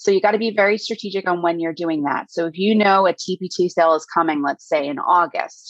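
A woman with an American accent speaks at a fairly quick pace in a plain, everyday voice. Her pitch variation is ordinary. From Hudson Valley, New York. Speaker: high school teacher and email marketer. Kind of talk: casual interview. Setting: indoors on a rainy day.

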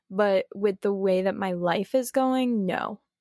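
An ordinary speaking voice from a woman at medium pitch, fairly slow pace and ordinary pitch variation, dry and close with no echo, in a very clean recording over a silent background. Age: 30s. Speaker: entrepreneur. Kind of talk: casual chat.

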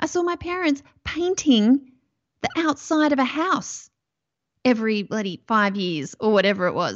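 A woman speaks at a moderate pace with an Australian accent. Her high voice swings very widely in pitch. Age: 40s. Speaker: mindset coach. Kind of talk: interview podcast.

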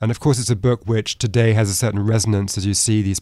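Very fast British-accented speech in a dark, mellow tone, on a very clean recording with a silent background. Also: man. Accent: British, little American left. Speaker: author and economics fellow. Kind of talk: interview.

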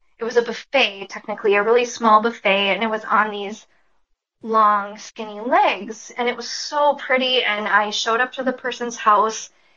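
A woman with an American accent speaks in a fairly high pitch, using a normal speaking voice. Her pace is fairly slow and her intonation fairly even. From Minnesota, US. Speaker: furniture refinisher. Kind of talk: casual interview.

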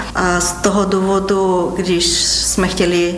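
A woman with a Bulgarian accent speaks at a fairly low pitch. Room echo is audible, and there is noticeable background noise. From Ruse, Bulgaria. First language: Bulgarian (speaking Czech). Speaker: doctor. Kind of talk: interview.

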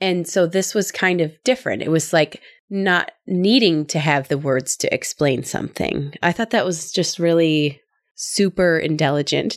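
A woman with a fairly low pitch and a Midwestern US accent speaks at a moderate pace with ordinary pitch variation and very even loudness. The recording is very clean and dry, with a silent background and no echo. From US Midwest. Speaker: podcast host.

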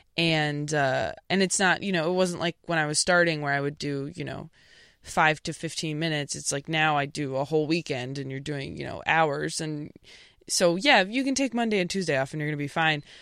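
A woman with a Midwestern accent, very deep and low in pitch, at a fairly quick pace on a very clean recording with a silent background. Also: ordinary pitch variation. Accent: Midwestern-sounding American. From California. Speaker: stand-up comedian. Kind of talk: casual interview.

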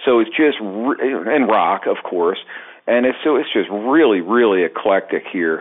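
This is a man speaking. He has a Baltimore accent. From Baltimore, Maryland. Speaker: drum teacher. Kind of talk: casual chat.

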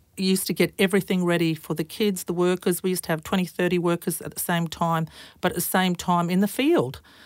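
A woman with an Australian accent at a medium pitch, fairly even in intonation, with a dry, close sound with no echo and a very clean recording, silent background. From rural Queensland, Australia. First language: Croatian. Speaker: fire and emergency services commissioner. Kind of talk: interview. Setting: studio.

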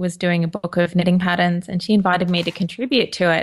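Spoken in a flat monotone with an Australian accent against a quiet background. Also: woman. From Queensland, Australia. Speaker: knitwear designer and podcaster. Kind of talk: casual interview chat.

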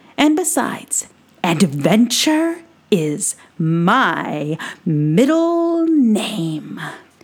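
A woman's put-on character voice at medium pitch, very slow, with very wide pitch swings. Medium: read story. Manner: bold, boastful, grandiose.

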